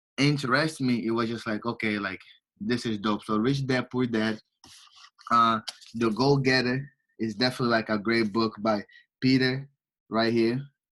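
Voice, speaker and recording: A man speaks at a medium pitch with a Portuguese accent. His pace is moderate, with long, frequent pauses and fairly even intonation. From Angola. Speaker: entrepreneur and finance student. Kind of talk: casual interview.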